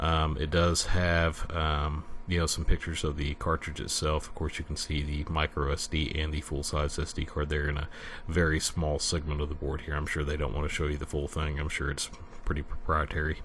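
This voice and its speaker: A man's very deep, low voice in a Southern US accent, monotone and flat, at a fairly quick pace. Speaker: retro computer YouTuber. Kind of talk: product review and unboxing. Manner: halting, many fillers.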